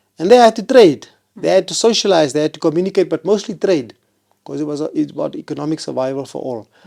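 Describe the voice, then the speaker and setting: A man's high-pitched, dark, mellow voice with a South African accent, very fast and lively in intonation, with big swings in loudness in a very clean recording against a silent background. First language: Afrikaans. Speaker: constitutional court judge. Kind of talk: interview.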